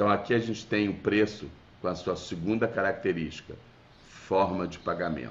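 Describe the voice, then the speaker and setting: A man with a Rio de Janeiro accent, fairly low-pitched and fairly slow, lively intonation, audible room echo. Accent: carioca. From Rio de Janeiro, Brazil. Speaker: business lecturer. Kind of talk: webinar lecture. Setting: video call. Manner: conversational, with fillers.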